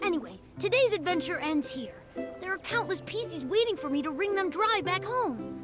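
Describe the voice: A woman puts on a character voice at an extremely high pitch, with big pitch swings and a fairly bright tone. She keeps a moderate pace as faint music plays in the background.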